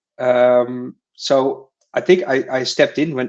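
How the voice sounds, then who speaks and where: A man is speaking. He has a Dutch accent. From Netherlands. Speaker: crypto community writer. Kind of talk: casual chat. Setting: live stream. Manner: halting, many fillers and repetitions.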